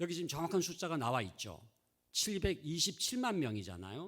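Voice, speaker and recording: With very wide pitch swings, a man speaks at a moderate pace on a very clean recording with a silent background. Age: 60s. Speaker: seminary professor, church education expert. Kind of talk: lecture.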